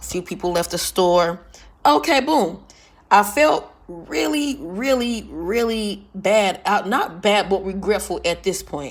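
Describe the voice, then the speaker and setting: Her pitch is medium for a woman, with ordinary pitch variation. She has an animated tone. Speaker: vlogger. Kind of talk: casual storytelling monologue. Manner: sounds like yelling even in normal talk.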